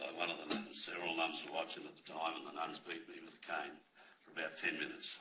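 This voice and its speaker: A man with an Australian accent speaks at a fairly quick pace, with audible room echo. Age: 70s. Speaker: abuse survivor witness at inquiry. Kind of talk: reading aloud witness statement.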